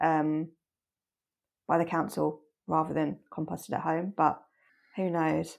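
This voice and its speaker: The speaker has an English accent. The recording is very clean, with a silent background. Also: woman. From England. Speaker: podcast co-host. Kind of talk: casual chat.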